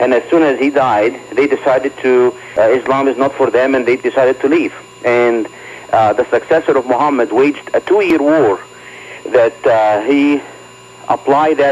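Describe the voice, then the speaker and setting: Noticeable background noise sits behind a man. His loudness stays very even, and his intonation is fairly even. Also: medium pitch for a man, moderate pace. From Egypt. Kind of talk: radio interview.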